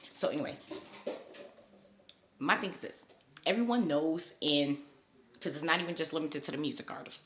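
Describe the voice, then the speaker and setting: With a very deep, low pitch and lively intonation, a woman talks at a fairly quick pace. Her loudness swings widely, and she takes long, frequent pauses. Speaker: YouTuber. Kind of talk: casual commentary vlog. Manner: fast.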